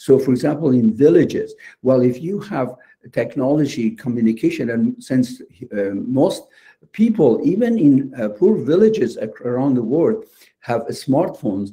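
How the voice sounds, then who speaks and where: His voice is fairly high yet dark and mellow in tone, and somewhat breathy. This man's pitch swings very widely. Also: moderate pace. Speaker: lab medicine panelist. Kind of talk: lecture. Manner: halting.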